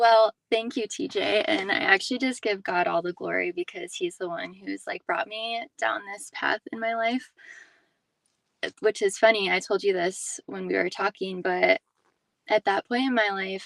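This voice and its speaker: A woman's unremarkable speaking voice at a medium pitch and moderate pace, with lively intonation and a dry, close sound with no echo. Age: 20s. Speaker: physical therapist. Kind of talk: testimony.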